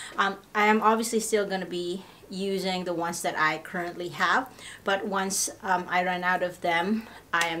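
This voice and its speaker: The voice moves at a fairly slow pace with fairly even intonation. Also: woman. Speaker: lifestyle vlogger. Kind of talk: casual vlog chat. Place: home room. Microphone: camera far.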